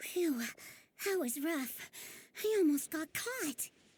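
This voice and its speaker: A put-on character voice, high-pitched and fairly slow. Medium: fan dub.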